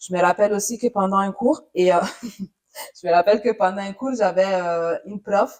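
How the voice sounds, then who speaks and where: With long, frequent pauses, a woman talks at a moderate pace and medium pitch with ordinary pitch variation. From Italy. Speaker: journalist. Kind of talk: interview. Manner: hesitant, many fillers.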